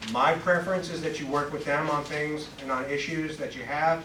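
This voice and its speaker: There is noticeable background noise and audible room echo. A man talks with fairly even intonation. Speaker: police commander. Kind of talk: public meeting remarks. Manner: loud.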